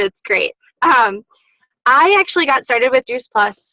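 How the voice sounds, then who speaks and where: A woman with a bright, sharp tone and ordinary pitch variation is heard in a dry, close sound with no echo. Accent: Upper Midwest. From Wisconsin, US Midwest. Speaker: network marketing distributor. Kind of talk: testimony. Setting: in a car.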